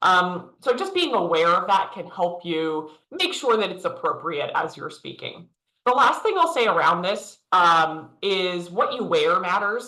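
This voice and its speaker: A loud, bright, sharp tone comes through at a fairly slow pace, with ordinary pitch variation. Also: woman, medium pitch for a woman. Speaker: leadership coach. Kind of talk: virtual workshop presentation.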